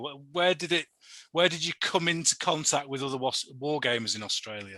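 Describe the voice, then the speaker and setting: A man with a Yorkshire accent speaks in a bright, sharp tone. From Yorkshire, England. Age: 50s. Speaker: podcast host. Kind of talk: casual interview chat.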